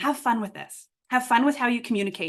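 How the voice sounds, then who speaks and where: Animated in tone, a woman speaks at a very fast pace with ordinary pitch variation. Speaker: workshop facilitator. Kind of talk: online workshop instruction.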